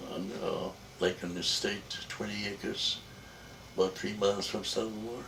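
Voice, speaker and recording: Noticeable background noise and audible room echo around a man's fairly low-pitched voice at a moderate pace. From Jamaica. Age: 80s+. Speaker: elderly father interviewed about his life. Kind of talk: family life-story interview. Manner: halting, hesitant with many fillers.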